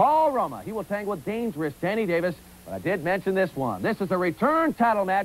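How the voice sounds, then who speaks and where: A man talks at a very fast pace in a high pitch with very wide pitch swings, over light background noise. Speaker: TV wrestling announcer. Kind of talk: TV sports show announcing. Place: studio. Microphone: lapel.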